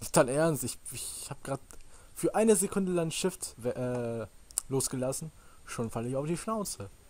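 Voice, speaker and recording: A man at a moderate pace with lively intonation and long, frequent pauses. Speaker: gaming YouTuber. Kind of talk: Let's Play commentary. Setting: voice chat over Skype/Teamspeak. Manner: animated. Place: home room. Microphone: headset.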